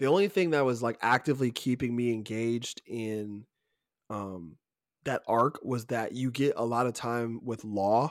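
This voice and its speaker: A man with a plain, everyday voice and an American accent, medium in pitch with ordinary pitch variation, at a moderate pace, on a very clean recording with a silent background. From Georgia (US South). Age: 20s. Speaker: podcast host. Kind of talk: casual chat.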